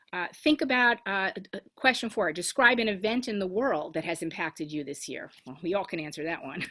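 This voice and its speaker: A woman's bright, sharp tone with lively intonation. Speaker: rabbi. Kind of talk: guided reflection in a religious service. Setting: video call. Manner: fast.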